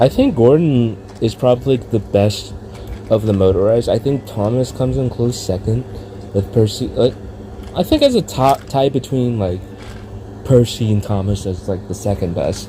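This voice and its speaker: A man talks at a moderate pace and medium pitch with ordinary pitch variation over noticeable background noise. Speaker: toy reviewer. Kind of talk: casual review vlog. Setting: indoors, filming in a room. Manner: rambling with fillers.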